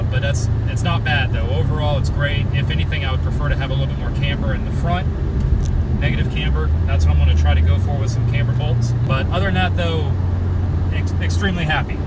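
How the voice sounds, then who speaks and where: Loud background noise accompanies a man who speaks very fast, the sound dry with no echo. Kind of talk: casual vlog chat. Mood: pleased, upbeat. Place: car. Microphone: phone near.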